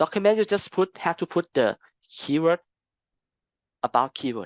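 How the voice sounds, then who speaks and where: The background stays quiet. The speaking pace is moderate. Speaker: customer consultant giving a training talk. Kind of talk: lecture Q&A.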